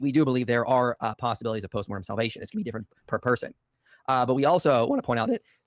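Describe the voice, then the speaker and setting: In a raspy, put-on character voice at medium pitch, a man races along at a very fast pace, with a dry, close sound and no echo. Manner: arguing, earnest.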